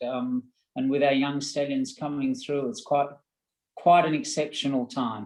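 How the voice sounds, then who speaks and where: Speaking with an Australian accent, a man with a fairly high pitch keeps a fairly slow pace and fairly even intonation. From Australia, rural Victoria (Castlemaine area). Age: 60s. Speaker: horse breeding executive, former stablehand. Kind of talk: webinar panel interview.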